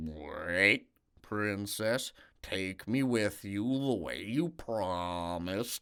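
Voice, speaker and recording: A man does a put-on character voice at a very slow pace and fairly low pitch, on a very clean recording with a silent background. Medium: read story.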